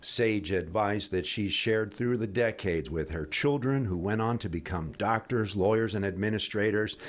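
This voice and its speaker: A man talks in a plain, everyday voice at a fairly low pitch with ordinary pitch variation. His pace is moderate, with hardly any pauses. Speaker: TV news reporter. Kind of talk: TV news report narration.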